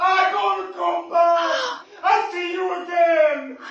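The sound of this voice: Over faint crowd noise and audible room echo, a man shouts slowly in a put-on character voice at an extremely high pitch with a fairly bright tone. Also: ordinary pitch variation.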